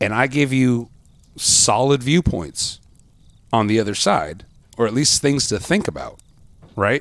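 Speaking at a medium pitch, a man moves at a fairly slow pace with long, frequent pauses. His intonation is lively while his loudness stays very even. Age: 40s. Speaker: podcast host. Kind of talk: casual chat. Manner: hesitant, many fillers.

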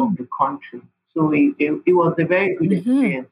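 A woman's somewhat breathy voice in a Nigerian accent, fairly low in pitch, with lively intonation and a fairly quick pace. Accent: Nigerian (Yoruba) English. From Nigeria (Yoruba, Osun State). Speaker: pharmacist and public health NGO leader. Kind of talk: interview.

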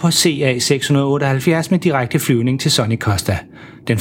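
The pitch moves in an ordinary way through this natural reading voice.

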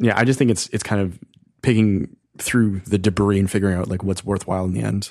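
A man with a plain, everyday voice, fairly low pitch, fairly even intonation and a fairly quick pace. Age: 30s. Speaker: podcast host. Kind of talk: show host segment intro; casual chat.

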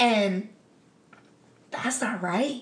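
Ordinary pitch variation, audible room echo and noticeable background noise. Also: woman. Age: 30s. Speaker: women's football quarterback. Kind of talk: casual chat. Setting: at her home.

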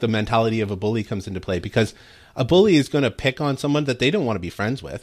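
Talking at a very fast pace, a man with a Canadian accent uses ordinary pitch variation. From Canada. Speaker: guest commentator. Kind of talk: talk radio discussion. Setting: remote connection.

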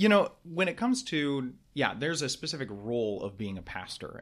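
Heard on a very clean recording with a silent background, a man with an American accent uses an unremarkable speaking voice at a moderate pace. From Michigan, then Texas from high school. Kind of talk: casual interview. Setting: small room studio.

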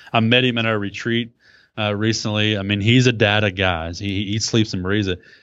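A man with a Texan accent speaks at a fairly quick pace. His voice is fairly low and monotone, with flat intonation. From Texas. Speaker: blogger and podcaster. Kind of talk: casual interview chat.

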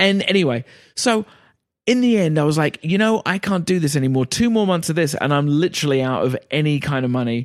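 In an Essex accent, a man speaks with a fairly high pitch and very even loudness. The sound is dry and close, with no echo. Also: lively intonation, fairly quick pace, very clean recording, silent background. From Essex, England. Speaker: guest. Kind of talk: casual chat.

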